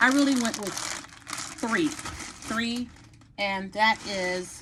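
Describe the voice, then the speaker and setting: A woman with an American accent speaks with lively intonation. Her fairly high voice is somewhat breathy. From Texas. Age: 50s. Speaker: hair and lifestyle vlogger. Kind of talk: hair tutorial. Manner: casual, chatty.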